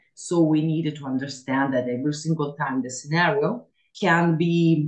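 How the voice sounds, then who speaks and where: A woman with an Italian accent, very deep and low in pitch, at a moderate pace. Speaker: mantracking instructor. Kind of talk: interview. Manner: halting with fillers.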